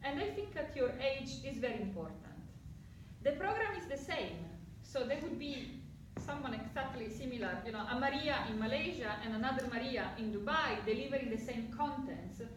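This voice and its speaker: A woman with an Italian accent speaks at a high pitch and moderate pace with lively intonation, amid noticeable background noise and audible room echo. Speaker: psychology lecturer. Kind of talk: talk to prospective students. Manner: animated.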